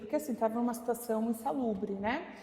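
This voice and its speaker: A fairly high-pitched woman's voice over noticeable background noise. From São Paulo, Brazil. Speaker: community association president. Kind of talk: documentary interview.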